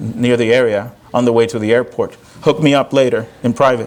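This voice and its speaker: A man talks fairly quickly with a Spanish accent and ordinary pitch variation. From Puerto Rico. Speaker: professor and performer. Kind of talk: audience Q&A after one-man show. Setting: theater stage with audience. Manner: animated.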